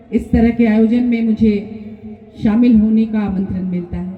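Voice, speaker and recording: A woman with a Bengali accent speaks with ordinary pitch variation against noticeable background noise. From Jharkhand, Ranchi. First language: Bengali (speaking Hindi). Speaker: writer. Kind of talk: public speech.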